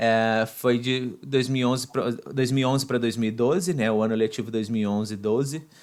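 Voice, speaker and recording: With a Brazilian accent, a man talks at a moderate pace and medium pitch, his intonation fairly even and his loudness very even. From Brazil, Volta Redonda, Rio de Janeiro state. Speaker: podcast host, guest. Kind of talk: interview. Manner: halting, many fillers.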